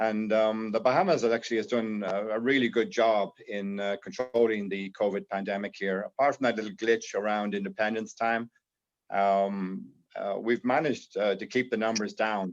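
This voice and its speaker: Against a quiet background, a man with an Irish accent speaks at a moderate pace with fairly even intonation. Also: fairly low pitch for a man. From Ireland. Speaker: insurance broker and panelist. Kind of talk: panel discussion. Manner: halting, many fillers.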